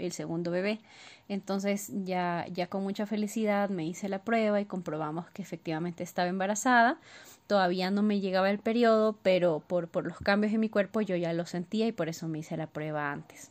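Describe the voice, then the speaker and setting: A woman with an unremarkable speaking voice, medium pitch and ordinary pitch variation. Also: quiet background. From Ecuador. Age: 30s. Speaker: listener sharing story. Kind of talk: personal testimony. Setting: recorded voice message.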